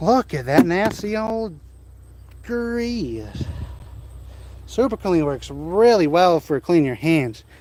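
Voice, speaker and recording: A man with a Wisconsin accent talks at a high pitch, his voice swinging very widely up and down. He goes at a very slow pace, with long, frequent pauses. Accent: unique Wisconsin. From central Wisconsin. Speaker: car hobbyist streamer. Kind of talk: casual live stream chat.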